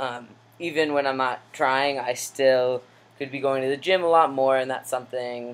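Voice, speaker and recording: This man speaks at a moderate pace and a medium pitch, his intonation monotone and flat. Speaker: vlogger. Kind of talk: personal video diary. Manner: casual with many fillers.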